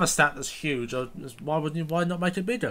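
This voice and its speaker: Here is a man with a high pitch. His intonation is lively. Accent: British. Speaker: gaming YouTuber. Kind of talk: casual gameplay commentary and review. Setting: recorded gameplay voiceover. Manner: casual, sarcastic.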